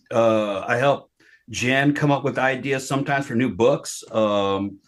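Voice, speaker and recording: A man talks at a fairly slow pace in a plain, everyday voice. His pitch is medium, with ordinary variation. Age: 50s. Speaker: poltergeist experiencer, retired military veteran. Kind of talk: casual interview chat.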